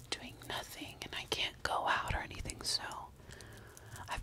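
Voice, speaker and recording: Soft-spoken and whispering, the voice moves at a fairly slow pace against noticeable background noise. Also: woman. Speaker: makeup vlogger. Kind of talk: casual ASMR-style makeup chat. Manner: soft close-mic ASMR whisper. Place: home room. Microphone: studio mic.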